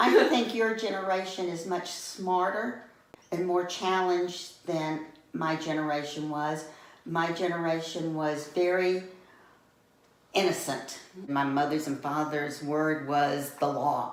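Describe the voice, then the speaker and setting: Over audible room echo, someone with a Southern US accent speaks at a fairly slow pace with ordinary pitch variation. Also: woman, fairly low pitch for a woman. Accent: Southern American. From US South, Atlanta. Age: 70s. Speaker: interviewee, retiree. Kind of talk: interview.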